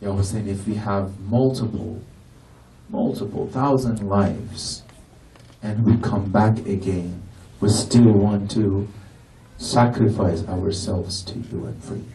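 With audible room echo, the speaker talks at a fairly slow pace with fairly even intonation and long, frequent pauses. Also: man, fairly low pitch for a man. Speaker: Shia lecturer. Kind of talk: Muharram sermon lecture. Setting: mosque gathering with audience. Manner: fervent, emotional, passionate, preacherly. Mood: emotional lament at end.

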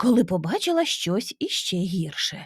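Someone reads out loud, sounding natural.

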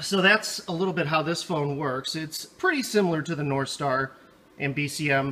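The pace is moderate. This man's pitch shows ordinary variation. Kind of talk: product demo tutorial. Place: office. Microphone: phone near.

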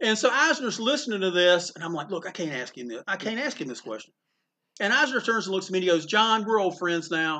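With a North Carolina accent, a man speaks very fast in a raised, projected, high voice, his bright, sharp, animated tone swinging very widely in pitch and greatly in loudness. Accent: Southern US, small-town North Carolina. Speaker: comic book store owner. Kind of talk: interview storytelling. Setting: comic book store. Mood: warm, amused. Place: shop. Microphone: phone near.

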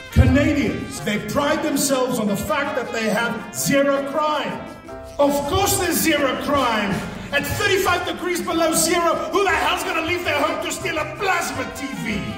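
A man's extremely high pitch at a moderate pace, with clear background music and audible room echo. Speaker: entertainer, actor, MC. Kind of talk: live stand-up comedy. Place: stage.

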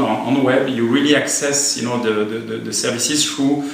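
A man talks at a moderate pace with fairly even intonation. There is audible echo from the room. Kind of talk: interview answer. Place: office.

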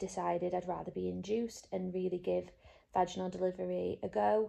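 The setting is quiet. At a moderate pace, a woman talks. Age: 20s. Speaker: IT project leader and new mother. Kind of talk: casual talk to camera. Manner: hesitant, filler-heavy. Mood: soft, calm, happy. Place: home room. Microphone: phone near.

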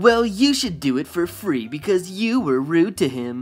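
Over music in the background, a man puts on a whiny character voice, pitched high with very wide pitch swings, at a moderate pace.

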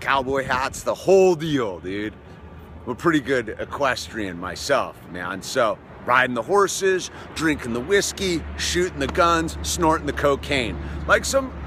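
There is noticeable background noise. A man talks at a fairly slow pace. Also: dry sound with no echo. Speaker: vlogger telling a story. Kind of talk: casual vlog chat. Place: open country. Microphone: phone near.

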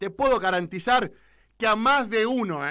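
Raised and projected, a man's high, bright, sharp voice carries at a moderate pace over a quiet background. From Argentina. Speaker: political radio commentator. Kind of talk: political rant. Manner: animated. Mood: angry, defiant. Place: studio. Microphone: studio mic.

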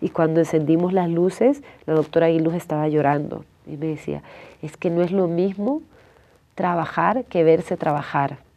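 Dark and mellow in tone, a woman's fairly low voice moves at a moderate pace with ordinary pitch variation. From El Salvador. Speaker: documentary filmmaker; interview guest. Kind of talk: interview. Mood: earnest, serious. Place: studio.

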